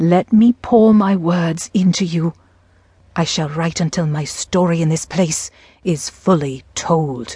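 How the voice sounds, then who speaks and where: The voice is dark, mellow, and somewhat breathy, with a theatrical tone and ordinary pitch variation. It moves at a very slow pace in a dry, close sound with no echo. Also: woman, fairly low pitch for a woman. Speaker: audiobook narrator. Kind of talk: dramatic audiobook narration, gothic first-person diary read with character voices. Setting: studio. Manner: theatrical, brooding and melancholy, with a dread-laden, haunted tone; shifts to a petulant, defiant young woman's voice and a scolding mother in dialogue.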